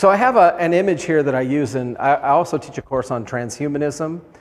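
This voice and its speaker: At a fairly quick pace, a man with an unremarkable speaking voice talks using ordinary pitch variation. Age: 60s. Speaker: professor. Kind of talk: lecture.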